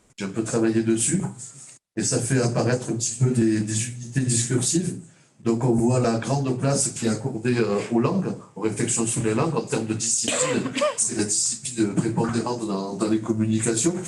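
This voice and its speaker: A man's medium-pitched voice with fairly even intonation, amid audible room echo and noticeable background noise. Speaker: teacher educator, mathematics. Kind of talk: conference talk. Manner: halting, many hesitations.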